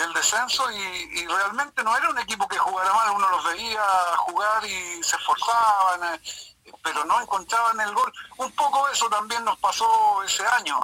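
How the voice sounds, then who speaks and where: Over noticeable background noise, a man with a high voice projects at a moderate pace, using ordinary pitch variation. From Chile, Lota mining area. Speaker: retired football goalkeeper. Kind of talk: phone interview reminiscing. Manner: halting, many repetitions.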